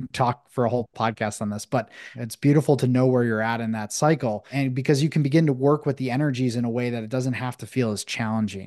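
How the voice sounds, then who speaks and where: Here is an unremarkable speaking voice from a man with an American accent, medium in pitch and fairly even in intonation, at a fairly quick pace. The background is quiet, and the sound is dry and close with no echo. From Buffalo, New York, US. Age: 30s. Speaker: breathwork facilitator and men's coach. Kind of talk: casual interview. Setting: video call.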